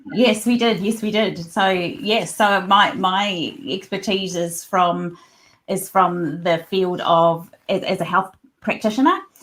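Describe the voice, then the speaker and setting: In a very clean recording with a silent background, a woman with a medium pitch and ordinary pitch variation talks at a very slow pace with a New Zealand accent. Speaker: occupational therapist and researcher. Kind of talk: podcast interview.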